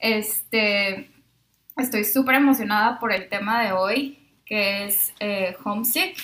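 A woman talks in a normal speaking voice. Her pitch sits fairly high and varies in an ordinary way. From Mexico, Monterrey. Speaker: speech pathology student, former au pair. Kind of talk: casual chat. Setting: shared microphones in one room.

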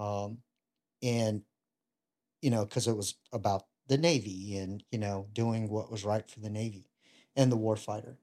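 With a Southern US accent and a dark, mellow tone, the speaker moves at a moderate pace with fairly even intonation, big swings in loudness and long, frequent pauses, on a very clean recording with a silent background. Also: man, fairly low pitch for a man. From US South, Louisiana (Ruston). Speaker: retired Navy bomb disposal technician. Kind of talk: casual interview chat.

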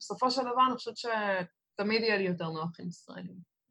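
A woman with an unremarkable speaking voice, a fairly quick pace and ordinary pitch variation. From Israel, Netanya. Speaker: Israeli living abroad. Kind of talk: casual interview chat. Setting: video call. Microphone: recorded over Zoom, poor sound.

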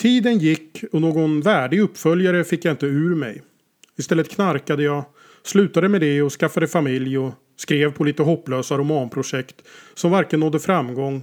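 A plain, everyday voice from a man, fairly high in pitch with ordinary pitch variation, at a moderate pace in a very clean recording with a silent background. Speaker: author. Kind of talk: scripted narration.

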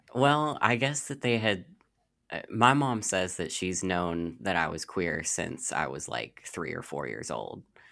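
Very deep and low in pitch yet bright and sharp in tone, a man speaks fairly slowly with vocal fry and very wide pitch swings, in a very clean recording with a silent background. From Louisville, Kentucky. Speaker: nonprofit representative. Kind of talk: interview.

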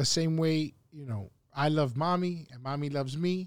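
A man with a normal speaking voice and a fairly high pitch talks at a moderate pace, with ordinary pitch variation. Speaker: podcast co-host. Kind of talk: casual chat.

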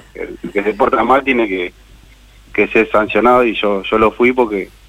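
A man with a normal speaking voice speaks with ordinary pitch variation. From Argentina, Buenos Aires province. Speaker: cooperative worker, former prisoner. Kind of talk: interview.

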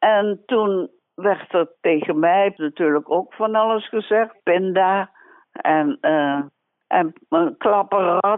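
A woman's medium-pitched voice at a very slow pace, its loudness very even throughout. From Dutch East Indies (Indonesia). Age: 80s+. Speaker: war camp survivor, retired secretary. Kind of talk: personal testimony.

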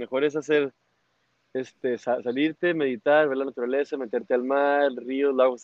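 In a normal speaking voice, this man keeps a medium pitch, a moderate pace and fairly even intonation. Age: 30s. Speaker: motorcycle traveler. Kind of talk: casual interview.

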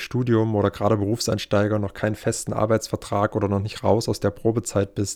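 In monotone, flat intonation, a man with a fairly low pitch talks at a fairly quick pace. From Saxony, Germany (Leipzig). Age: 20s. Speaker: podcast host, real estate investor and bank employee. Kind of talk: podcast monologue. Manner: casual, with filler sounds.

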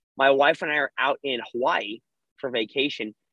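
Here is a normal speaking voice from a man. His pitch is medium, with ordinary pitch variation. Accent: American. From California. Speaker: former CrossFit competitor and gym business owner. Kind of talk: interview. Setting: video call.

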